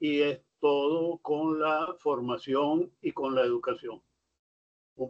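A man speaking over a quiet background. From Venezuela. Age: 80s+. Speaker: nonprofit national president. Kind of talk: speech. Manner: halting. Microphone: video call.

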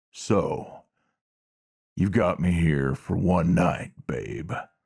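Using a put-on character voice, a man speaks very slowly in a raspy, very deep, low pitch. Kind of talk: ASMR roleplay audio. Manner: flirtatious, teasing.

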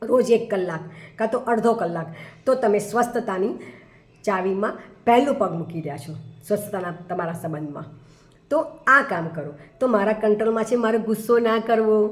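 Lively intonation marks this woman's fairly high pitch in a plain, everyday voice. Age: 60s. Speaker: life coach. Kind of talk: motivational talk.

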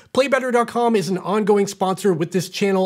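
Fairly quick male speech over a quiet background. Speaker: tech reviewer. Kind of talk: product review talk. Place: studio.

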